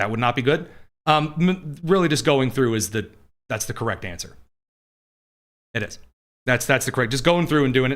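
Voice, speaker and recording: Pitched fairly high, a man's voice rises and falls in an ordinary way. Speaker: political talk show host. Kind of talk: live news commentary with viewer questions. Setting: live studio stream. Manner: blunt, in-your-face.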